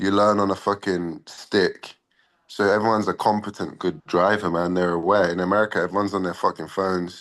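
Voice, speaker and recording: Over a quiet background, a man talks with a Cockney accent. His pitch is very deep and low, and his pace fairly quick. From England, London. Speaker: MMA fighter. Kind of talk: casual interview. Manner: animated.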